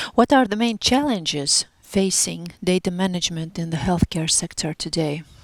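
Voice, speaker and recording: With noticeable background noise, a woman of fairly low pitch speaks at a moderate pace with lively intonation, in a dry, close sound with no echo. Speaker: podcast host. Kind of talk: interview.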